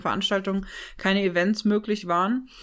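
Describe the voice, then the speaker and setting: Fairly quick, flat monotone speech on a very clean recording with a silent background. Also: woman. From western Germany, Vordereifel (Rhineland-Palatinate). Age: 30s. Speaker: choir singer and event manager. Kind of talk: interview.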